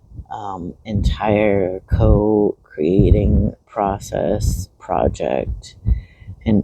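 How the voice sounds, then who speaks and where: A man speaks quietly at a very slow pace. Noticeable background noise runs under his voice. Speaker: spiritual vlogger. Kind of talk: casual vlog monologue. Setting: outdoors in a park. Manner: quiet, low.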